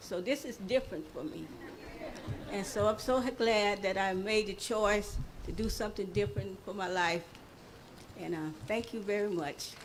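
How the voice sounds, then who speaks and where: A woman speaks at medium pitch and a moderate pace, with ordinary pitch variation and long, frequent pauses. Crowd noise fills the background and the room echo is audible. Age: 70s. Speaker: new resident of affordable housing. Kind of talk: personal testimony at ceremony. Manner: halting.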